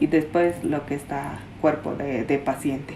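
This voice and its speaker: Her pitch very deep and low, a woman speaks at a very slow pace in a dark, mellow tone with ordinary pitch variation. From Peruvian Amazon, Shipibo. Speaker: traditional healer. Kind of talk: interview. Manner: halting.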